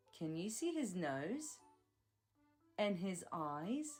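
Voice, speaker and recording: A woman speaks at a very slow pace in an upbeat tone, her pitch swinging very widely, with music in the background. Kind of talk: children's educational narration. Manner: upbeat, clear, slow.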